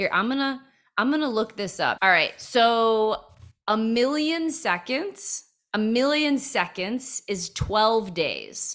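At a very slow pace, a woman speaks in a fairly high voice with lively intonation. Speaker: comedian and podcast host. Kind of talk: casual chat with her dad. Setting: remote recording with headphones.

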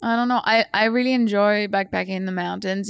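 With a French accent, a woman talks at a fairly quick pace with ordinary pitch variation, in a very clean recording with a silent background and a dry, close sound with no echo. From France, countryside. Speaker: scientist. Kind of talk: casual chat.

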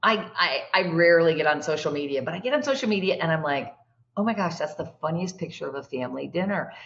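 Racing at a very fast pace, a woman speaks with lively intonation and a fairly low voice. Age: 60s. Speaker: executive coach and speaker. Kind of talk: casual interview.

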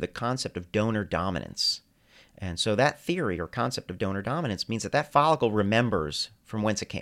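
A man with a normal speaking voice and medium pitch talks at a fairly quick pace in a very clean recording with a silent background. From US Northeast, New Jersey. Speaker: hair transplant surgeon. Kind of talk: interview.

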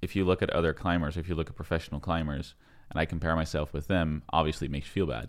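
A man talks at a very fast pace in a very deep, low voice with vocal fry and fairly even intonation. The recording is very clean, with a silent background. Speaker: podcast host. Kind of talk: casual interview chat. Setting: guest's home.

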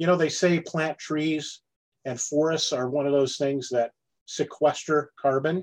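Fairly high-pitched and fairly slow, a man talks in an unremarkable speaking voice with fairly even intonation. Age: 50s. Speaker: farmer. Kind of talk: podcast interview.

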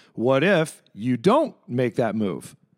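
Lively intonation runs through this man's medium-pitched voice. He has an ordinary speaking voice. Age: 40s. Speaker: restaurant owner. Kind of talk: interview. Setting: cocktail lounge.

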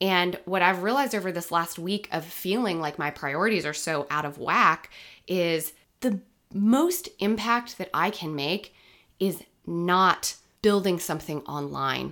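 Pitch varies in an ordinary way, and the pace is fairly slow. It is an ordinary speaking voice on a very clean recording with a silent background. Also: woman, fairly low pitch for a woman. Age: 30s. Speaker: podcast host. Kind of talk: casual chat.

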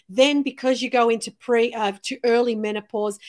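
An unremarkable speaking voice from a woman, fairly high-pitched and moderately paced, its intonation fairly even. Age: 50s. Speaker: podcast host. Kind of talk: casual interview chat.

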